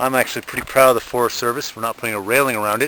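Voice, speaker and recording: There is noticeable background noise as a man speaks with fairly even intonation. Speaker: hiking guidebook author. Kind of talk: on-trail field notes narration. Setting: outdoors on a hiking trail. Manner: hesitant, many fillers.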